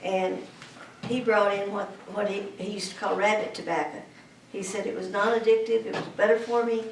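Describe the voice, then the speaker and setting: Through noticeable background noise and audible room echo, a woman with an American accent talks fairly quickly at a medium pitch in a flat monotone. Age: 60s. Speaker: cannabis advocate. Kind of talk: testimony. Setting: public presentation. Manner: halting.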